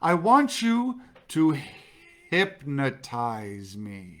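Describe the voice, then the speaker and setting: In a put-on character voice, the speaker goes very slowly at a low-to-middle pitch, with very wide pitch swings. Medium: read story.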